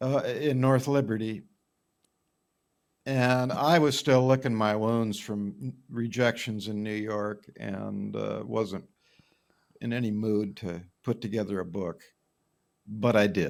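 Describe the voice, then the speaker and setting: A man speaks at a very slow pace with long, frequent pauses, his fairly low pitch showing ordinary variation. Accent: Midwestern American. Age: 60s. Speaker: journalist and author. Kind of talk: interview.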